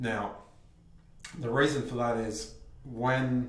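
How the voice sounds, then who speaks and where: Somewhat breathy, a man speaks with audible room echo. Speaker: vlogger. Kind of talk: personal vlog monologue. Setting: bathroom at home. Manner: shaky voice.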